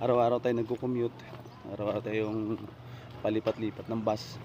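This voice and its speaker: A man with a medium pitch talks fairly quickly in a monotone, flat intonation, with noticeable background noise around him. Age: 40s. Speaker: vlogger. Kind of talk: vlog narration. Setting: outdoors and on a bus while commuting.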